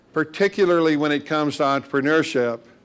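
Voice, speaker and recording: A man with a Midwestern American accent. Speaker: university institute director. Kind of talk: lecture.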